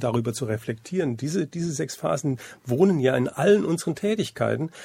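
A man's dark, mellow voice with vocal fry and lively intonation, on a very clean recording with a silent background. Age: 60s. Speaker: school happiness program founder. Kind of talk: radio interview.

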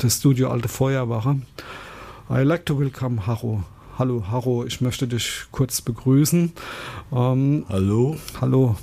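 A dark, mellow tone comes with intonation that stays fairly even. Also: man. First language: German. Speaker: community radio host. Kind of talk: radio show presenting. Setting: studio.

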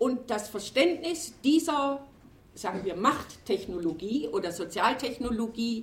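The speech is loud and comes at a very slow pace. It has very wide pitch swings over noticeable background noise. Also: woman. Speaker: retired sociology professor. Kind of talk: panel discussion.

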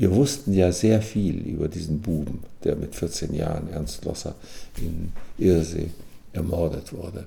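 A man's very deep, low voice, fairly slow with long, frequent pauses, lively intonation and audible room echo. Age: 80s+. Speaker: retired psychiatrist. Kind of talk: personal account recorded for radio. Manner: halting with fillers.

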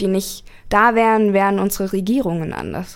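A woman talks at a fairly slow pace with medium pitch and fairly even intonation. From Berlin. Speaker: activist and student. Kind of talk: radio interview. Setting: radio studio. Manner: hesitant with many fillers.

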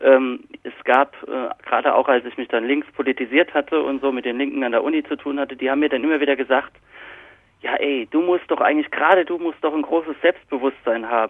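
A man speaks at a fairly quick pace, his pitch fairly high and his intonation fairly even. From Palatinate, Kaiserslautern (Germany). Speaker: journalist and book author. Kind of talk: interview.

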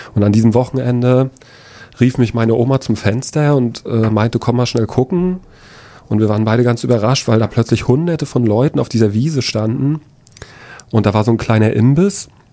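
At a fairly quick pace broken by long, frequent pauses, a man speaks with a dark, mellow tone, medium pitch and very even loudness. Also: ordinary pitch variation. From Rostock-Lichtenhagen, northeastern Germany. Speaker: anti-racism trainer, eyewitness. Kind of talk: personal testimony. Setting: studio. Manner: halting, with frequent fillers.

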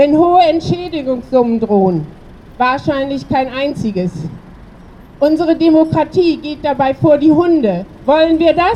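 With a high pitch and lively intonation, a woman talks at a fairly slow pace. Noticeable background noise is present. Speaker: protest speaker. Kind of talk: rally speech. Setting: outdoors at a protest.

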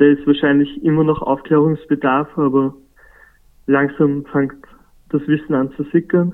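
A man with a fairly high pitch, a fairly slow pace, monotone, flat intonation, and long, frequent pauses. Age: 20s. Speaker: youth climate activist. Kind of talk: interview. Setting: phone call.

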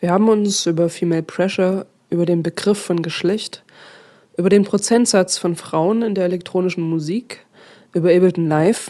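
A woman with a plain, everyday voice speaks at a moderate pace and medium pitch, using fairly even intonation. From Dresden, Saxony. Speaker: radio host. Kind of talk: radio presentation.

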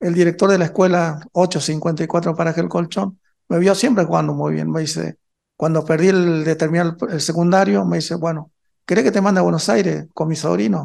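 Moderate pacing and ordinary pitch variation from a man with a high-pitched voice. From northern Argentina, Chaco. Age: 50s. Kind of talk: interview. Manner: halting.

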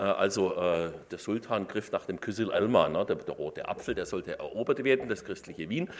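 A man at a moderate pace, with hardly any pauses. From Württemberg, Stuttgart area. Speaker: professor of Islamic studies and law. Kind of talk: lecture.

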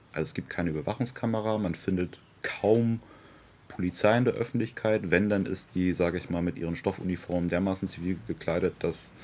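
A man with a very deep, low pitch talks at a fairly quick pace, using ordinary pitch variation. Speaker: local party politician. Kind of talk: interview. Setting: outdoors in a garden. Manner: animated.

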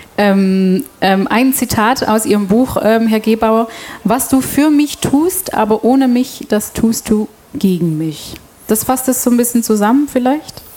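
Noticeable background noise sits behind a woman speaking fairly slowly at a fairly high pitch. Her loudness stays very even, with ordinary pitch variation. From Belgium, Antwerp. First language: Dutch (speaking German). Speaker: radio host. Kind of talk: panel discussion moderation. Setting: stage with audience.

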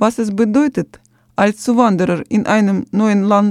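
Speaking at a very slow pace, a woman with a fairly high pitch is heard in a dry, close sound with no echo. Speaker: radio presenter. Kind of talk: radio presenting, reading script. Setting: studio.

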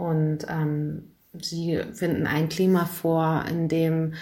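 Over a silent background on a very clean recording, a woman speaks with a very deep, low pitch and monotone, flat intonation. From Hamburg, Germany. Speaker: lawyer and activist. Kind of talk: pre-recorded interview answer.

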